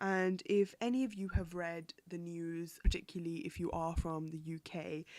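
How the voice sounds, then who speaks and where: A woman's fairly low voice in a British accent, moderate in pace and fairly even in intonation, in a very clean recording with a silent background. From UK. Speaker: podcast host. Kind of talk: solo news commentary podcast. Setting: home recording, window open. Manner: casual, chatty with hesitations.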